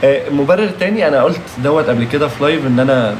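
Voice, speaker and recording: There is noticeable background noise and audible room echo. A man talks at a fairly quick pace. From Egypt, Alexandria. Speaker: live stream host, former reality show contestant. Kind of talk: live stream Q&A chat. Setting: live stream.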